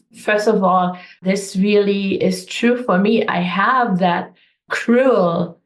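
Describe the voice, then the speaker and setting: This woman's voice sits at a medium pitch and sounds somewhat breathy. She has a German accent. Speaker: energy healer, coach. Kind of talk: interview answer.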